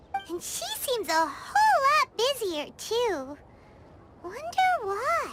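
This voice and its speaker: A female-sounding voice puts on a character voice at an extremely high pitch for a woman. It moves at a very slow pace. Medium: video game. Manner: refers to self in third person.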